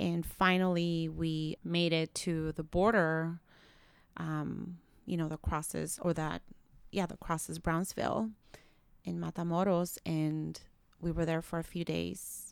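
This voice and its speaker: A woman speaks with a Spanish accent. Her pace is fairly slow. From Nicaragua. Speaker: public defender. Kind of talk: casual interview conversation.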